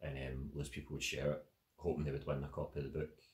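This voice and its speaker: A man with a Glaswegian accent talks very fast in a very deep, low voice with vocal fry. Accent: Glaswegian Scots. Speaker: writer and spoken word performer. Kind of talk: casual talk answering audience questions. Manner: casual, filler-heavy.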